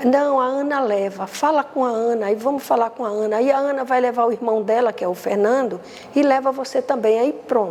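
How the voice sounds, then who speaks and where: This woman talks at a fairly quick pace in a high voice with ordinary pitch variation. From Brazil, Recife. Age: 70s. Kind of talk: interview testimony. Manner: halting, repetitive.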